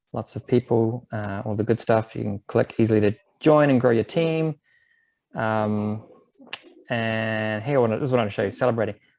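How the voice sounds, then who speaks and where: A man with a New Zealand accent, medium pitch and fairly even intonation at a fairly quick pace, in a dry, close sound with no echo. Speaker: bike advocacy program presenter. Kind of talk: webinar presentation. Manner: casual, filler-heavy.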